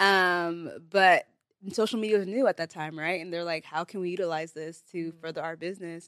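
With an American accent, the speaker goes at a very fast pace with ordinary pitch variation in a dry, close sound with no echo. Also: woman. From US Bay Area; Nigerian heritage. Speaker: content creator and business owner. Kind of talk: casual interview chat. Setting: studio.

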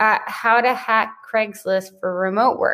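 A woman with an American accent and an unremarkable speaking voice talks at a fairly slow pace, her pitch fairly high with ordinary variation. The recording is very clean, with a silent background. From US. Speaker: entrepreneur and podcast guest. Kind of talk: interview conversation.

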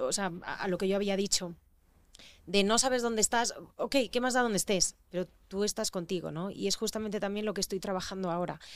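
A woman's medium-pitched, plain, everyday voice at a fairly quick pace, with fairly even intonation on a very clean recording and a silent background. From Spain, raised mostly in Madrid. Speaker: actress. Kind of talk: casual chat.

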